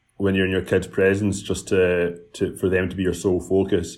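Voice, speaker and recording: At a moderate pace, a man talks at a fairly low pitch. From Scotland. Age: 30s. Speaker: entrepreneur and app founder. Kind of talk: casual podcast interview. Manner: chatty, frequent fillers and repetitions.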